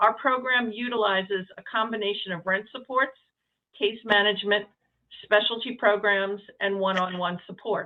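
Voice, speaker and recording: This woman speaks with a New York accent. Her intonation is fairly even. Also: medium pitch for a woman, moderate pace. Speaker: nonprofit executive director. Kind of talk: presentation. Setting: hybrid meeting, remote call. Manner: hesitant, many fillers.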